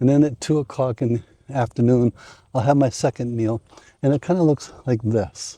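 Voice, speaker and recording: Over a quiet background, a man with an American accent speaks at a moderate pace in a medium pitch, his dark, mellow, relaxed tone showing ordinary pitch variation in a dry, close sound with no echo. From United States. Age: 60s. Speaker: retiree fitness vlogger. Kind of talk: casual talk to camera. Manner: relaxed, conversational.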